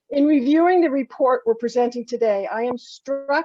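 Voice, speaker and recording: A woman with lively intonation at a moderate pace, in a dry, close sound with no echo. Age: 70s. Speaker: state senator. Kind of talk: prepared remarks. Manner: formal.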